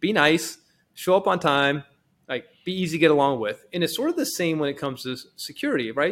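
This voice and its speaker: Here a man speaks with an American accent and a fairly high pitch. His pace is very fast. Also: ordinary pitch variation, very clean recording, silent background. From Texas. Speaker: cybersecurity company executive. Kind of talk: casual podcast interview.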